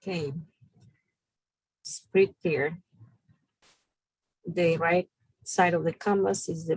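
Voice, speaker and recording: Speaking at a fairly slow pace with a strong non-native accent, a woman shows vocal fry and a very deep, low pitch. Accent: strong foreign. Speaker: business bootcamp instructor. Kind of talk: online class lecture.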